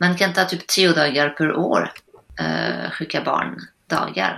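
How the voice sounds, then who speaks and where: This woman talks in a French accent. She goes very slowly. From northern France. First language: French (speaking Swedish). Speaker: general practitioner. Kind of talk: casual chat. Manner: halting.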